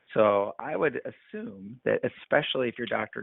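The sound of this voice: A man speaks with vocal fry. His pitch varies an ordinary amount.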